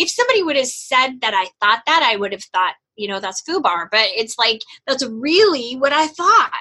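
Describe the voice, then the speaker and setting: A woman projects a raised voice with a bright, sharp tone. Her pitch swings very widely while her pace stays moderate. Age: 50s. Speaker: flight attendant and business coach. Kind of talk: interview conversation.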